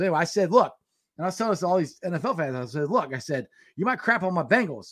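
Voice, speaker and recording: Talking at a very fast pace, a man with an Ohio accent sounds animated, with lively intonation and a high pitch. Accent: Midwestern American (Ohio). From Cincinnati, Ohio. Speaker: sports podcast host. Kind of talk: casual sports chat livestream. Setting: home studio livestream.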